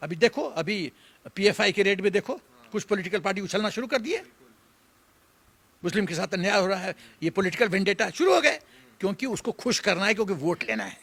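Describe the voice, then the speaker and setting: A man's high, animated voice at a moderate pace with long, frequent pauses, ordinary pitch variation and a dry, close sound with no echo. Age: 70s. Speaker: retired army general. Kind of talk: political commentary interview. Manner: animated, emphatic.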